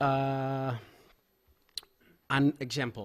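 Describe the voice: Very slow in pace, a man speaks at a medium pitch with a fairly bright tone and ordinary pitch variation.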